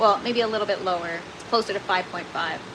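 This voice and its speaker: Noticeable background noise runs under this woman as she talks at a moderate pace. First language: French. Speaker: gardening livestreamer. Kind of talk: casual livestream chat reading comments. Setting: livestream in indoor grow tent. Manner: casual, many filler words; sometimes garbled speech.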